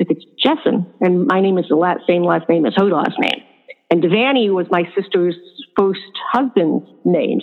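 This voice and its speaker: At a moderate pace and with ordinary pitch variation, a woman with a fairly low pitch speaks in an ordinary speaking voice. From upstate New York. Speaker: family caregiver. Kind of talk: casual interview chat.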